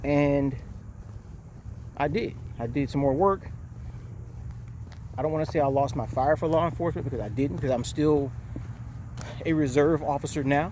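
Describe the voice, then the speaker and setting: A man speaks at a moderate pace and a fairly high pitch, with ordinary pitch variation. He leaves long, frequent pauses, and the room echo is audible. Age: 60s. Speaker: retired police officer and vlogger. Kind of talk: casual vlog monologue. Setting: outdoors, walking.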